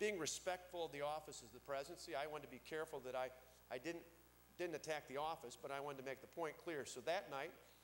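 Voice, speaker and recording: A very fast man's voice, fairly high in pitch, with fairly even intonation and an American accent. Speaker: state governor. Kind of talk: political speech.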